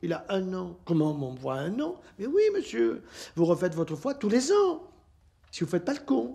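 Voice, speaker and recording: Here a man speaks. Dark and mellow describes his tone. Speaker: physician. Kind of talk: public talk. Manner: animated.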